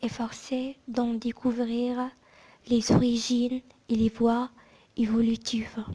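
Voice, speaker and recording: A soft-spoken whisper at a very slow pace. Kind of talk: whispered book reading. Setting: ASMR recording. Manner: whispered, soft-spoken.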